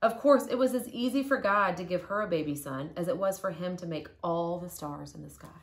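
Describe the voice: A woman at fairly low pitch, fairly quick in pace, with ordinary pitch variation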